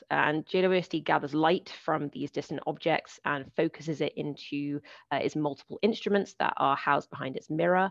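In a British accent, a woman talks at a moderate pace with vocal fry and a very deep, low pitch against a quiet background. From United Kingdom. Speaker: planetary scientist. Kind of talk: lecture. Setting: video call.

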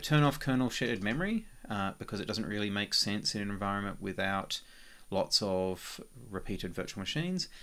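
A man with a fairly low voice and a bright, sharp tone talks at a fairly quick pace on a very clean recording with a silent background. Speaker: software developer. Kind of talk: tutorial. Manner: casual with frequent fillers.

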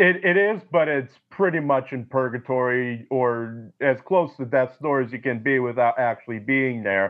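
Using a normal speaking voice, a man talks at a moderate pace with a medium pitch and ordinary pitch variation. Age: 20s. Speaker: film historian. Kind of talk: casual chat.

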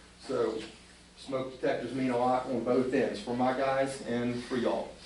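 Against noticeable background noise and audible room echo, a man talks at a medium pitch. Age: 60s. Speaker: volunteer fire chief. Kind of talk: report to a council meeting. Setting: borough council meeting. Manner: halting, many fillers and repeats.

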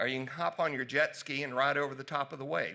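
A man with a Southern US accent and a bright, sharp tone, at a fairly quick pace against a quiet background. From US South, Tennessee. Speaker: physician; presenter. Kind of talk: conference talk. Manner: casual. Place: hall.

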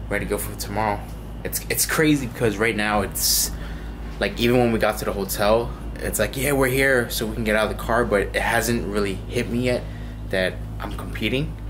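Someone talks at a fairly quick pace with noticeable background noise. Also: man. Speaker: fitness competitor vlogger. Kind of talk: casual vlog chat. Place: home room. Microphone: phone near.

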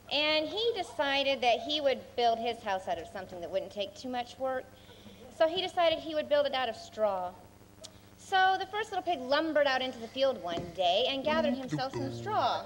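Over light background noise, a woman's high voice swings very widely in pitch. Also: moderate pace. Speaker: skit narrator. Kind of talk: storytelling narration. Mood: playful, comic. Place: stage.

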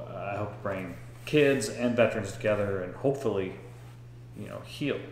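Light noise sits in the background. The room echo is audible. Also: man. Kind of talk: interview question and commentary. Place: home room.

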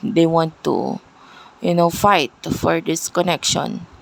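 Speaking at a very slow pace, a woman uses a fairly low pitch. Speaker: tarot reader. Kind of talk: tarot reading video. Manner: loud.

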